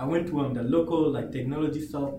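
Over noticeable background noise, a man with a fairly high pitch and ordinary pitch variation speaks at a very fast pace. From grew up in a refugee camp, now lives in Australia. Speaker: motivational speaker, former refugee. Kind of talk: casual interview.

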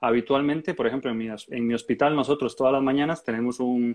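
Over a quiet background, a man talks in a plain, everyday voice at medium pitch, at a moderate pace and with fairly even intonation. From Costa Rica. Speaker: podcast host, urology resident doctor. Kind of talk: casual interview chat.

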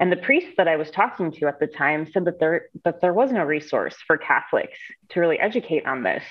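A woman with an American accent talks at a fairly quick pace in an unremarkable speaking voice. Her pitch sits fairly low, and her intonation is lively. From Ohio, US Midwest (Cleveland). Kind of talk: interview.

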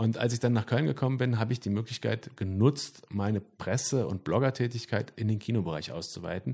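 A man talks at a fairly quick pace with hardly any pauses, his tone dark and mellow, with vocal fry. The recording is very clean, with a silent background. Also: medium pitch for a man, ordinary pitch variation. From Sauerland, Germany. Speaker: band singer. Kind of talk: casual interview chat.

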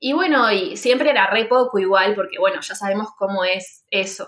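A plain, everyday voice, with ordinary pitch variation. The pace is moderate. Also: woman. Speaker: podcast host, freelance art teacher. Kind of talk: casual chat.

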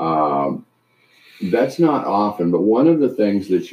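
A man's fairly low voice with an American accent, a normal speaking voice, and lively intonation. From Canada and US Midwest. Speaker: retired trial lawyer. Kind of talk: casual chat.

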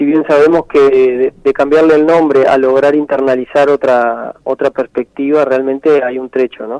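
A man at a fairly high pitch, monotone and flat, at a moderate pace with hardly any pauses, the sound dry and close with no echo. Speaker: musician and researcher. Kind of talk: radio interview. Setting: radio studio. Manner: halting, with many repetitions.

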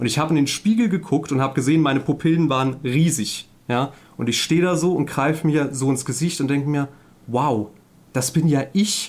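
An ordinary speaking voice from a man, fairly high pitch, ordinary pitch variation, fairly quick pace, very even loudness. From Saarland, Germany. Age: 30s. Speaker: couples therapist and gaming streamer. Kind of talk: casual podcast interview.

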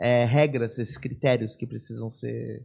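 A man's somewhat breathy, dark and mellow voice, fairly slow and fairly even in intonation, over a quiet background. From São Paulo, Brazil. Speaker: podcast host. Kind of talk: casual interview. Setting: studio.

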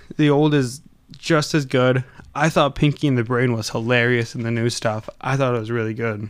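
A man with a plain, everyday voice at medium pitch and a moderate pace, with fairly even intonation. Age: 20s. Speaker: podcast co-host. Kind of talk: casual chat.

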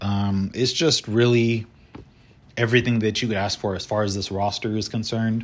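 A man's strained, fairly low voice stays monotone and flat at a moderate pace. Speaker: solo baseball podcast host. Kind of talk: casual solo commentary. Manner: somewhat monotone, restrained.

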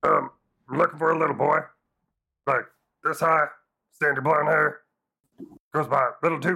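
A man does a put-on, raspy character voice at a fairly high pitch. He keeps a moderate pace but leaves long, frequent pauses. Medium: actual play. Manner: casual, rambling.

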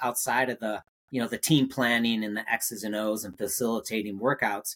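The recording is very clean with a silent background as a man speaks fairly quickly at a medium pitch. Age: 50s. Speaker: triathlon coach and former pro triathlete. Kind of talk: interview. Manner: halting.

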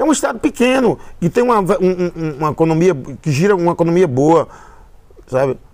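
Speaking at a fairly quick pace with long, frequent pauses, a man uses a high pitch, lively intonation and very even loudness. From Brazil, Paraíba (Northeast). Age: 60s. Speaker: musician. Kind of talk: casual interview. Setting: at his home. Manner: halting, many repetitions.

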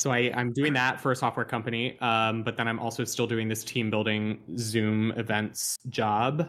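A man's medium-pitched, monotone, flat delivery at a moderate pace, hardly any pauses, very even loudness, and a very clean recording with a silent background. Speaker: musician. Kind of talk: casual chat.

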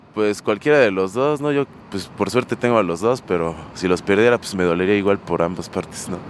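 A man talks at a fairly quick pace, his pitch fairly low with ordinary variation. Noticeable background noise sits behind him. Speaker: rock musician. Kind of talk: street interview.

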